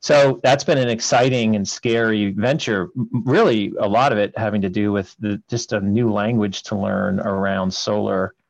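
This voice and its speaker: Speaking at a moderate pace with hardly any pauses, a man with a fairly low voice shows ordinary pitch variation. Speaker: project developer, co-host. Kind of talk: casual chat. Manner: halting.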